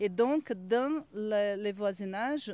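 A woman at a fairly high pitch, with a dry sound and no echo. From Brazil. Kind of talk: casual chat. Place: open country. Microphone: handheld.

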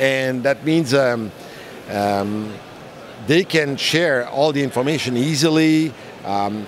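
Over light background noise, a man speaks at a very slow pace. His pitch varies in an ordinary way, and the sound is dry with no echo. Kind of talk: interview answer. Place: hall. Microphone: handheld.

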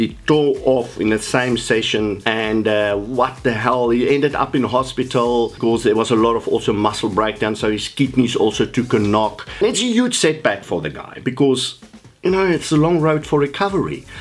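With an unremarkable speaking voice, a man talks at a moderate pace with lively intonation and hardly any pauses. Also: medium pitch for a man. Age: 60s. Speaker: fitness coach. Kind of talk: vlog monologue.

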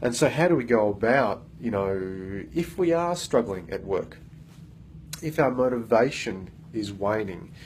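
A somewhat breathy man at a moderate pace and fairly low pitch, with light background noise. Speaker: workplace coach. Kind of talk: motivational talk to camera. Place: meeting room. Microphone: phone near.

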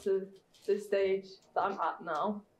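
Audible room echo around a woman speaking. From Cyprus, then Sheffield; Cyprus. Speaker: guest speaker; speaker. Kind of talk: personal story talk. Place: classroom.

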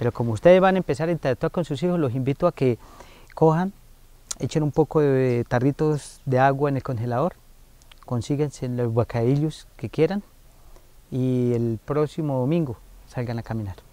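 The voice has a dark, mellow tone, pausing long and often in a dry sound with no echo. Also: man, ordinary pitch variation, moderate pace. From Colombia, Valle de San José (Santander); Santander, Colombia. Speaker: foundation director, family counselor. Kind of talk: interview on community TV. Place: garden.

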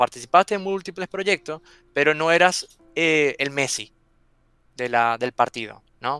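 A man speaks at a fairly high pitch and moderate pace with ordinary pitch variation. His tone is bright and sharp, and the sound is dry with no echo. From Venezuela. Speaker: software testing content creator. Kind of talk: interview. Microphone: headset.

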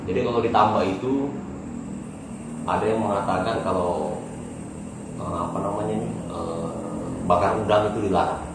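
There is audible room echo and noticeable background noise as a man speaks at a fairly quick pace. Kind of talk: casual vlog chat. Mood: relaxed, smiling. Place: home room. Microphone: camera far.

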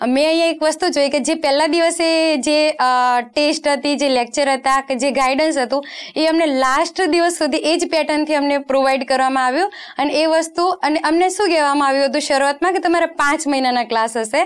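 A woman speaks at a high pitch with very even loudness and fairly even intonation. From Rajasthan. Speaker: police sub-inspector exam topper; guest. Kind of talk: interview. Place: studio. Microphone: lapel.

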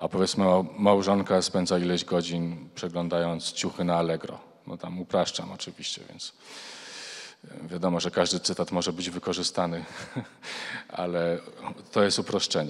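A man with a Polish accent and a very deep, low pitch, flat monotone intonation, long and frequent pauses, and a quiet background. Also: moderate pace. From Poland. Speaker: foundation president, researcher; panelist. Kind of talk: panel debate. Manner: formal. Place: hall. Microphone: handheld.

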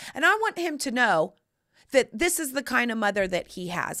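Over a quiet background, a woman with an American accent speaks in an animated, bright, sharp tone with very wide pitch swings. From US South. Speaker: podcast host and lifestyle advice personality; podcast host. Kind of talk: casual chat. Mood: playful, cheeky humor. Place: studio. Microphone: studio mic.

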